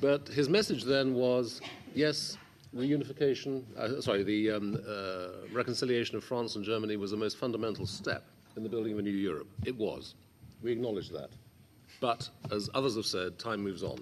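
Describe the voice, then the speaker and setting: Here a man talks fairly quickly, in a medium pitch with ordinary variation. His is an unremarkable speaking voice. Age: 60s. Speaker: MEP chairing hearing. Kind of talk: formal hearing chairing.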